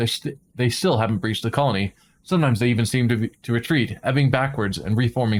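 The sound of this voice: Reading done in an unforced reading voice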